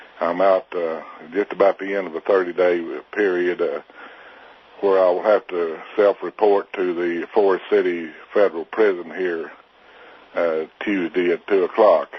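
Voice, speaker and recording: A man's very deep, low voice in an Arkansas accent, with monotone, flat intonation and noticeable background noise. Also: moderate pace. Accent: Southern US (Arkansas). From Arkansas, US South. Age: 60s. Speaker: militia member facing prison. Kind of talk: interview. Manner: hesitant, many filler 'uh's.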